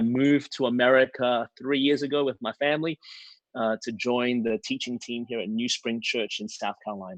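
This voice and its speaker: A man speaks with an Australian accent at a moderate pace, his intonation fairly even. The sound is dry and close, with no echo. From Australia, Melbourne. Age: 40s. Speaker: preacher. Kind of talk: casual chat.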